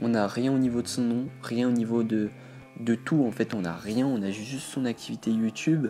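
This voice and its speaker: A man talks at a fairly slow pace with a medium pitch and a dark, mellow tone. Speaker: YouTuber. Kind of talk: video commentary. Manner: stuttering, many hesitations.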